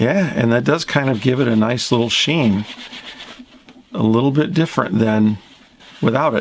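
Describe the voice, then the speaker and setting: A man at medium pitch talks at a moderate pace with ordinary pitch variation and very even loudness. He takes long, frequent pauses, with noticeable background noise behind him. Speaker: instrument restorer. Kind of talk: tutorial.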